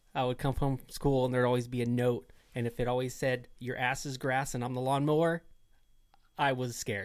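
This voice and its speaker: A man with a normal speaking voice, a fairly quick pace and fairly even intonation. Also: medium pitch for a man. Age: 30s. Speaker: dirt bike rider. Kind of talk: casual chat.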